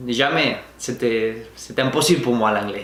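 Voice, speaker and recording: Over noticeable background noise and audible room echo, a man with a Spanish accent talks at a moderate pace. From Spain, Valencia region. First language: Spanish (speaking French). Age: 20s. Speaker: vlogger. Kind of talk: personal storytelling to camera. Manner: halting, with frequent hesitations.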